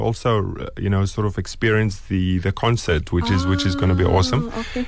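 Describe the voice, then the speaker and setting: The speech comes at a very fast pace. Background noise is noticeable throughout. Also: man. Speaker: chef and restaurateur. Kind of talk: radio interview. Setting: radio studio.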